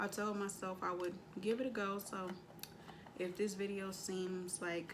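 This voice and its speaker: Audible room echo surrounds a woman speaking at medium pitch and a moderate pace in a monotone, flat intonation. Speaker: tarot reader. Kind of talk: tarot reading. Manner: casual, slangy.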